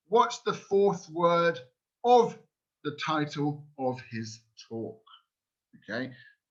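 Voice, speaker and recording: Speaking very slowly with a British accent, a man with a fairly high pitch makes very wide pitch swings and big swings in loudness, broken by long, frequent pauses. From New Zealand. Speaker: language school director presenting a webinar. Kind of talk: webinar quiz for teachers. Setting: online webinar. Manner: animated.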